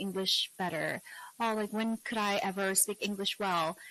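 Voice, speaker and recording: A woman's medium-pitched voice, bright and sharp in tone, at a moderate pace, dry and close with no echo. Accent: Korean. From South Korea. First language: Korean. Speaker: English teacher and YouTuber. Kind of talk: interview. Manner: animated.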